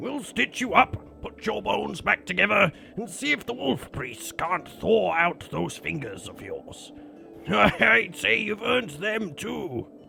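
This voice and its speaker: A raspy man puts on a character voice at a fairly slow pace while clear music plays in the background. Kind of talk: fantasy saga dialogue. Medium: read story. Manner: hearty, loud, laughing.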